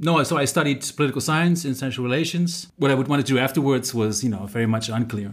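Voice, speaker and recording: With a Dutch accent, a man speaks very fast at a medium pitch and with ordinary pitch variation. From Netherlands. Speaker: head of international and languages center. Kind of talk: interview.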